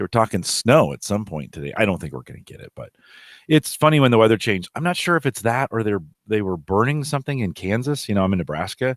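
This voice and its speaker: In a very clean recording with a silent background and a dry, close sound with no echo, a man speaks very fast with very wide pitch swings and big swings in loudness. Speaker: podcast coach. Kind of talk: casual chat.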